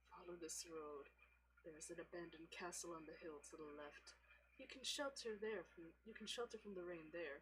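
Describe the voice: A hoarse, put-on character voice uses lively intonation. It moves at a moderate pace over clear background noise. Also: woman, fairly low pitch for a woman.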